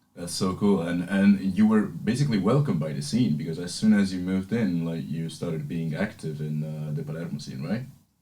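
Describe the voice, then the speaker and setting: With hardly any pauses, a man speaks in a very deep, low pitch and lively intonation, amid noticeable background noise and audible room echo. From Sicily, Italy. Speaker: radio host. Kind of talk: casual chat.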